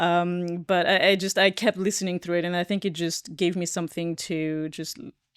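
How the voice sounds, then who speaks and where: With a non-native accent, a woman talks at a moderate pace in a fairly low voice, with fairly even intonation, big swings in loudness, hardly any pauses, and a dry, close sound with no echo. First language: not English. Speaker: podcast co-host. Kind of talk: casual chat. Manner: halting, many fillers.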